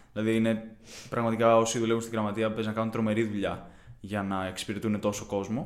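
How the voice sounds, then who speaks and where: A man's flat, monotone delivery at a fairly quick pace, with audible room echo. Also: medium pitch for a man. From Greece, Kiato, Corinthia. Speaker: university student. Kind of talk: interview.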